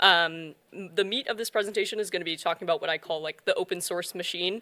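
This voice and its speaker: A woman with an American accent has an unremarkable speaking voice at a medium pitch. She talks at a fairly quick pace, and the recording is very clean with a silent background. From US South, North Carolina. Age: 20s. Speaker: software developer, conference speaker. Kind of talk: conference talk.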